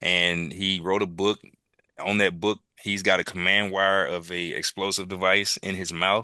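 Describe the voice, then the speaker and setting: Against a quiet background, a man with a Mississippi accent speaks at a moderate pace in a monotone, flat intonation, his very deep, low voice bright and sharp in tone. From US South, Jackson, Mississippi. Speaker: military veteran. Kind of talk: interview conversation. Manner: halting.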